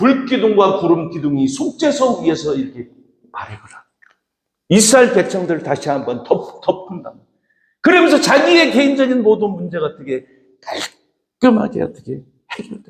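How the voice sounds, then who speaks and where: Moderate pace with long, frequent pauses, very wide pitch swings and big swings in loudness. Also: man, high pitch for a man. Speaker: pastor. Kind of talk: sermon.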